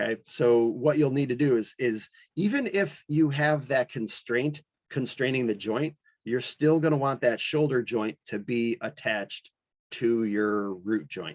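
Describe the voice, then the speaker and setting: In an ordinary speaking voice of medium pitch, a man talks at a fairly slow pace with lively intonation, the sound dry and close with no echo. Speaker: animation instructor. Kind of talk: lecture. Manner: casual, many fillers.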